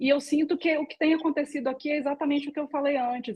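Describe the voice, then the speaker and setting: A woman with a high pitch at a very fast pace. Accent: Minas Gerais. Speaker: political candidate. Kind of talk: closing remarks in a live panel.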